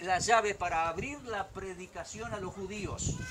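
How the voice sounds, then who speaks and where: Amid noticeable background noise and audible room echo, a man speaks in an animated tone at a fairly slow pace. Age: 60s. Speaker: pastor. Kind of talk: sermon.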